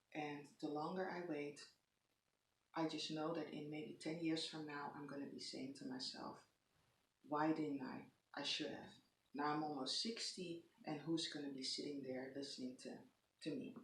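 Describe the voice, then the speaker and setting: In a room with audible echo, a woman with a very deep, low pitch talks at a moderate pace, pausing long and often. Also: ordinary pitch variation. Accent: Dutch. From Netherlands. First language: Dutch. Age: 40s. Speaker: lifestyle vlogger. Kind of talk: casual vlog monologue. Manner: halting, many pauses and fillers.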